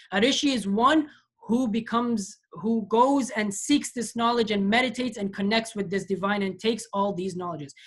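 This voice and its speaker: Fairly quick, somewhat breathy speech from a woman, fairly high in pitch and ordinary in its pitch variation. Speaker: lecturer on comparative religion. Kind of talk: lecture. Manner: fast.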